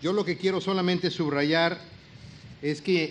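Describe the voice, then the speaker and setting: This man speaks in a Mexican accent at a moderate pace. His intonation is fairly even, with light background noise. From Mexico. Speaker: politician. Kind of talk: public speech. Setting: public event with audience. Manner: formal. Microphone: podium.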